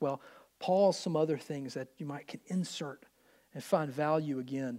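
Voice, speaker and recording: With a Southern US accent, a man speaks at a moderate pace with lively intonation. The recording is very clean and the background silent. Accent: US South. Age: 30s. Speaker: pastor. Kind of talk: sermon.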